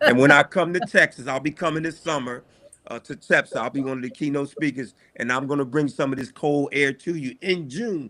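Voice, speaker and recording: Bright and sharp in tone, a fairly high-pitched man with a Philadelphia accent speaks at a fairly quick pace with ordinary pitch variation. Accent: Philadelphia American English. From US Northeast, Philadelphia. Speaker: school principal. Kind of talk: casual chat.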